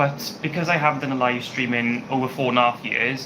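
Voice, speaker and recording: This man speaks with a British accent at a medium pitch. His pace is moderate, and noticeable background noise runs underneath. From UK. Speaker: YouTuber. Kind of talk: live stream Q&A chat. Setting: home kitchen. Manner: hesitant, many fillers.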